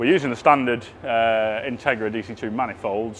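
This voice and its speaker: With noticeable background noise behind him, a man uses a medium pitch and ordinary pitch variation. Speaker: car restoration workshop presenter. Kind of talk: workshop video update.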